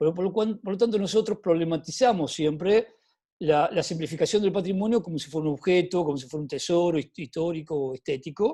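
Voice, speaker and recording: This man's voice sits high in pitch, with a dark, mellow tone and ordinary pitch variation. He talks at a fairly quick pace against a quiet background. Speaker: cultural heritage speaker. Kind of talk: webinar talk. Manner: halting, repeats words.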